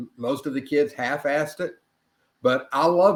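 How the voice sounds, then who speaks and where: Here a man speaks at a moderate pace in an ordinary speaking voice. His pitch varies in an ordinary way. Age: 60s. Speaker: author and chemist. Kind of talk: interview conversation. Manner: conversational with self-corrections.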